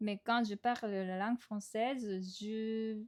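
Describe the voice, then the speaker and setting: In a very clean recording with a silent background and a dry, close sound with no echo, a woman with a Japanese accent talks at a very slow pace with fairly even intonation. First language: Japanese (speaking French). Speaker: podcast host. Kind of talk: casual monologue podcast. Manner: hesitant, many fillers.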